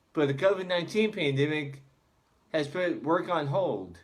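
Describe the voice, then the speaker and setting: A man with a high pitch talks at a moderate pace using lively intonation. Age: 20s. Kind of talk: prepared speech.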